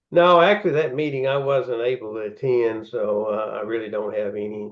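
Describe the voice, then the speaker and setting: A man speaks with a Tennessee accent. His pace is fairly quick. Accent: US Southern (Tennessee). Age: 70s. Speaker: pork producer CEO. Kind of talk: interview. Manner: halting, many fillers and repeats.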